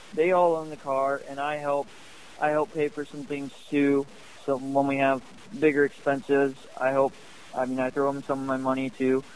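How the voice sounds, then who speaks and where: A man's fairly high, monotone voice with flat intonation and a Midwestern American accent, at a moderate pace. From Northwest Ohio. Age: young. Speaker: sprint car racing driver. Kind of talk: interview.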